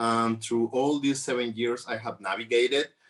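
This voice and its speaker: At a moderate pace, a man with a Mexican accent talks at a medium pitch with ordinary pitch variation over a quiet background. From Mexico. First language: Spanish. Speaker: trafficking survivor advocate. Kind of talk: conference panel talk. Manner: halting, many fillers.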